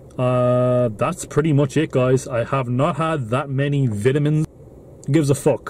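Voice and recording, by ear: Using ordinary pitch variation, a man with a medium pitch talks at a fairly slow pace in a slightly mellow tone.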